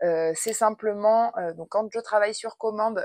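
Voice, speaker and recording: At a moderate pace, a woman of medium pitch speaks with a dry, close sound and no echo. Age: 30s. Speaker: artist and lifestyle vlogger. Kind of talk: casual Q&A vlog. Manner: hesitant, many fillers.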